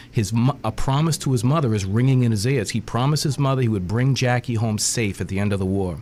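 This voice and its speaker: In a Boston accent, a man speaks at a very fast pace with very even loudness, medium pitch and ordinary pitch variation. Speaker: author. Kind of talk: radio interview. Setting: radio studio.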